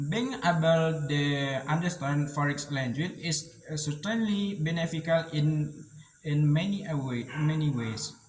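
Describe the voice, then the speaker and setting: A man with an Indonesian accent speaks at a fairly slow pace and a fairly high pitch, with ordinary pitch variation. Noticeable background noise is present. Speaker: university student. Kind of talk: spoken monologue for English test. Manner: hesitant, many fillers.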